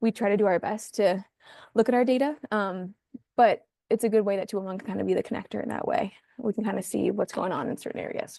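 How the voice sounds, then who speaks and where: Speaking very fast with vocal fry, a woman has a medium pitch, ordinary pitch variation and a dark, mellow tone, recorded with a dry, close sound with no echo. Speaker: community services presenter. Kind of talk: presentation on video call. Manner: hesitant fillers (um, uh).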